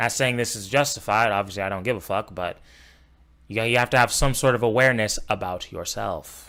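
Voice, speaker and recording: A man with an LA accent, medium pitch, bright and sharp in tone, fairly quick, with fairly even intonation, on a very clean recording with a silent background. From Los Angeles. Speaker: streamer reacting to video. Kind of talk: casual reaction commentary.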